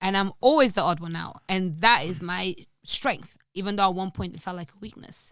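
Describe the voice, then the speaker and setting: An animated tone with big swings in loudness, in a very clean recording with a silent background. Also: woman, ordinary pitch variation, moderate pace. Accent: non-native. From Portugal. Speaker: podcast guest, language teacher. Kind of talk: casual chat. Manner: animated, high energy.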